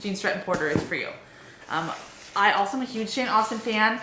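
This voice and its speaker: Noticeable background noise accompanies the woman as she speaks at a fairly quick pace. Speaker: book blogger. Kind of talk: casual talk to camera. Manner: fast, wordy.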